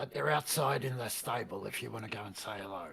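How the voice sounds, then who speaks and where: A man puts on a raspy character voice with a fairly low pitch. He rattles along at a very fast pace. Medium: actual play. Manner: breezy, upbeat.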